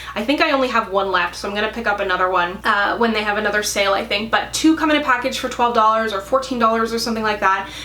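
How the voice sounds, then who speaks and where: A woman talks at a very fast pace with a fairly high voice and fairly even intonation. The room echo is audible, and background noise is noticeable. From East Coast Canada. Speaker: beauty youtuber. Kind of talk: product review.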